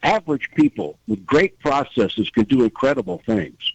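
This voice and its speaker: At a moderate pace, a man with an unremarkable speaking voice talks at a fairly high pitch with lively intonation. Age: 60s. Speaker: auto industry executive. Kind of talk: panel discussion.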